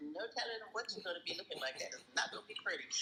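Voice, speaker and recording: A woman speaking with music in the background. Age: 70s. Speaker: panelist in fitness discussion room. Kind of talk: casual chat. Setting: online audio room.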